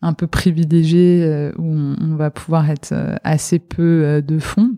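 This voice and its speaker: The recording is dry and close, with no echo. A woman speaks with very deep, low pitch and fairly even intonation. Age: 40s. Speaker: private equity partner. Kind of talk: interview. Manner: halting, many repetitions and fillers.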